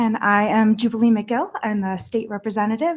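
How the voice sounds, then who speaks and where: With an American accent, a woman speaks in a somewhat breathy voice at a fairly high pitch. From Vermont, US (Middlebury). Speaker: state representative. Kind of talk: public meeting testimony. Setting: town board meeting.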